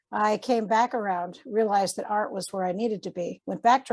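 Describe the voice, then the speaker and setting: Speaking at a fairly quick pace with an American accent, a woman has a medium pitch, ordinary pitch variation and an unremarkable speaking voice. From Massachusetts. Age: 60s. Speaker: artist and art teacher. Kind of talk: casual interview chat.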